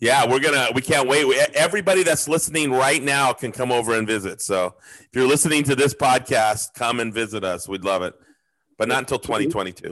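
A man talks fairly quickly in a medium pitch, with an unremarkable speaking voice and lively intonation. His loudness swings widely against a quiet background. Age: 50s. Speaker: podcast host. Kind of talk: casual chat.

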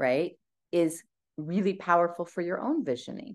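This woman has a plain, everyday voice pitched fairly low. The background is quiet. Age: 40s. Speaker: wellness business coach and livestream host. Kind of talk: casual livestream talk to community.

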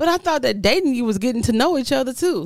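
A woman's vocal fry at a fairly quick pace, with very wide pitch swings. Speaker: podcast co-host. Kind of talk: casual chat.

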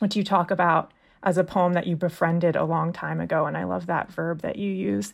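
This woman has a normal speaking voice. She talks at a fairly quick pace. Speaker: magazine managing editor and podcast host. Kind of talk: interview.

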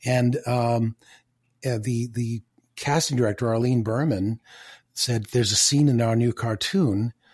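Speaking fairly slowly with long, frequent pauses, a man's medium-pitched, somewhat breathy voice keeps a fairly even intonation in a very clean, dry, close recording with no echo and a silent background. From Canada, Toronto. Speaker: voice actor and comedian. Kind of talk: casual interview.

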